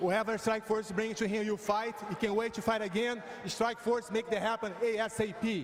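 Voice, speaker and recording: In a Portuguese accent, the speaker talks at a fairly quick pace with monotone, flat intonation over noticeable background noise. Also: man, high pitch for a man, hardly any pauses. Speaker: interpreter. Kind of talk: live interpreting.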